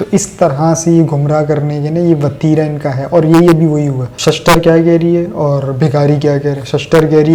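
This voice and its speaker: Over noticeable background noise and audible room echo, a man with a fairly high pitch speaks at a moderate pace in a monotone, flat intonation. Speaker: political commentator. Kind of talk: political commentary monologue.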